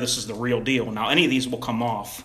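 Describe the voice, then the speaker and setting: Audible room echo surrounds a man's voice. He has a medium pitch and fairly even intonation. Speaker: gun YouTuber. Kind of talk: livestream product demo. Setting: home livestream at gun table. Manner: halting, casual.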